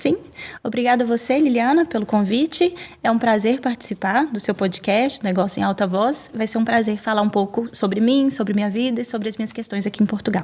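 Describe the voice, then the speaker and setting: The voice is somewhat breathy and moves at a fairly quick pace. Its pitch rises and falls in an ordinary way. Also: woman, fairly high pitch for a woman. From Brazil. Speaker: lawyer. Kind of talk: podcast interview.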